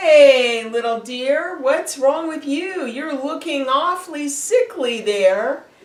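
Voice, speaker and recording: This put-on character voice is high-pitched, very slow in pace, and has hardly any pauses. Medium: read story.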